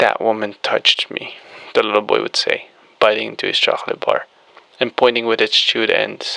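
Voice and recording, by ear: Reading aloud in a natural voice, with fairly even intonation throughout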